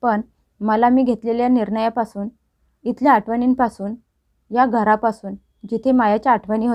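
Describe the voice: Over a quiet background, the voice is plain reading aloud with fairly even intonation.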